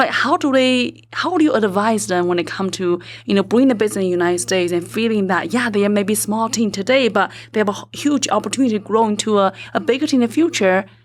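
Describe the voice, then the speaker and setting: Over noticeable background noise, a woman with a non-native accent talks very fast at a medium pitch, with lively intonation. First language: not English. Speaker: podcast host. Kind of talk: interview.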